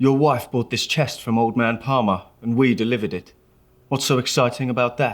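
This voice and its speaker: In a gruff, put-on character voice, a man speaks at a fairly quick pace with medium pitch and fairly even intonation, on a very clean recording with a silent background. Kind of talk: vintage crime-comic acting. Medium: audio drama. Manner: gruff, clipped tough-guy slang.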